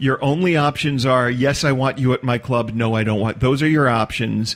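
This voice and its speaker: In a normal speaking voice, a man talks at a moderate pace with medium pitch, fairly even intonation and very even loudness. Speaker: storyteller. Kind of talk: podcast interview answer.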